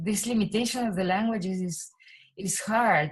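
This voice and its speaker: With ordinary pitch variation, a woman's medium-pitched voice comes across somewhat breathy. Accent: Spanish. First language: Spanish. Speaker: musician. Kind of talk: interview. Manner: halting.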